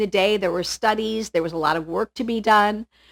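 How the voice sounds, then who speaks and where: A woman with an unremarkable speaking voice speaks at a fairly high pitch with lively intonation. The recording is very clean with a silent background, in a dry, close sound with no echo. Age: 50s. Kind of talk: casual chat.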